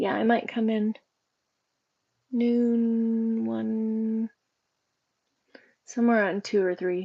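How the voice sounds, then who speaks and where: Flat and monotone, the speech moves at a very slow pace with long, frequent pauses. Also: woman, fairly high pitch for a woman. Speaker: livestreamer. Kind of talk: casual chat. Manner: chatty, casual.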